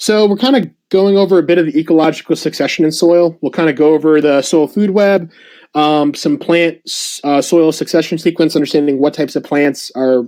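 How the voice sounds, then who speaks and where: In a very clean recording with a silent background, a man with a fairly high pitch and a dark, mellow tone talks at a fairly quick pace with ordinary pitch variation. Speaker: soil ecology presenter. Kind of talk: slide presentation. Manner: fast; filler-heavy, halting.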